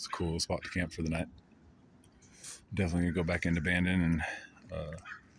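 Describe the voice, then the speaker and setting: Very fast and monotone, a man talks in a very deep, low voice with flat intonation. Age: old. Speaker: traveling hobo and busker vlogger. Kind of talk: casual vlog monologue. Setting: outdoors at a campsite. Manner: quiet, low-key.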